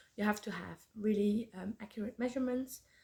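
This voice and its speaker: A woman speaks at a fairly quick pace with a Flemish accent, her dark, mellow tone somewhat breathy and her intonation monotone and flat. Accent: Belgian Dutch (Flemish) accent in English. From Belgium. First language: Dutch. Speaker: podcast host, knitter. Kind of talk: casual chat. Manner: halting, many fillers.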